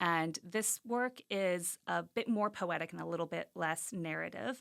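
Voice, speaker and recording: A woman speaks at a fairly slow pace with lively intonation and a fairly low pitch. The recording is very clean, with a silent background. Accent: American. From US South, rural Arkansas. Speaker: visiting artist. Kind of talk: interview.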